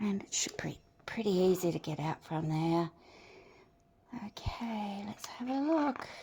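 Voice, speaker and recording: A woman with an Australian accent speaks at a fairly slow pace, leaving long, frequent pauses. Her dark, mellow tone is somewhat breathy, and her pitch swings very widely. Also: medium pitch for a woman. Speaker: resin artist. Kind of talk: tutorial. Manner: casual, hesitant with fillers.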